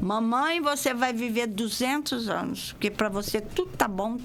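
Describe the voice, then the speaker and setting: The pace is moderate. Pitch variation is ordinary. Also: woman. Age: 60s. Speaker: dance teacher. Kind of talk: radio interview. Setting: radio studio.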